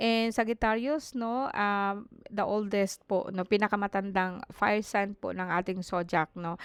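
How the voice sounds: Intonation stays fairly even in a clear, smooth tone. The pace is fairly slow. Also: woman, medium pitch for a woman.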